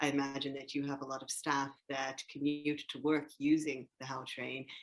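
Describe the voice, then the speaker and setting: Speaking with an American accent, a woman has a very deep, low pitch. Her intonation is monotone and flat, and her pace is moderate. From United States. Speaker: podcast host. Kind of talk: interview.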